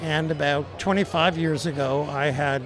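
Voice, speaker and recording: Fairly slow, fairly even speech with audible room echo and noticeable background noise. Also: man. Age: 70s. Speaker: adaptive athlete and running club member. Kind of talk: interview.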